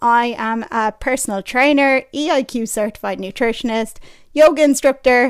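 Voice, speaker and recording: Speaking at a moderate pace with an Irish accent, the voice shows ordinary pitch variation on a very clean recording with a silent background. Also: woman. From Ireland. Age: 30s. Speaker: personal trainer and podcast host. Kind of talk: podcast monologue. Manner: casual, chatty.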